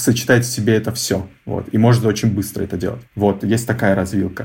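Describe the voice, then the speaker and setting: Somewhat breathy, a man of medium pitch speaks with fairly even intonation. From Russia, Novosibirsk (Akademgorodok). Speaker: head of design. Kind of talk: interview.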